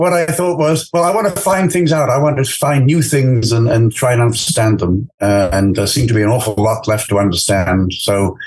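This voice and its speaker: Against noticeable background noise, a man talks at a fairly quick pace with hardly any pauses, very wide pitch swings, and very even loudness. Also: medium pitch for a man. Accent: English. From England. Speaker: astrophysicist. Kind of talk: interview. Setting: podcast. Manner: halting, many fillers.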